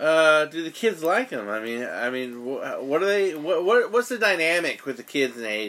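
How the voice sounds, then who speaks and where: Loud and at a moderate pace, a man speaks. His pitch swings very widely. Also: fairly high pitch for a man, hardly any pauses. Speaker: podcast host. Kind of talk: casual chat. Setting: studio.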